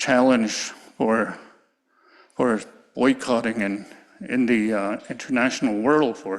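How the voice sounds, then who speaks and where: Very slow in pace, a man speaks in a medium pitch with fairly even intonation. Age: 60s. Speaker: community elder. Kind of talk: public testimony.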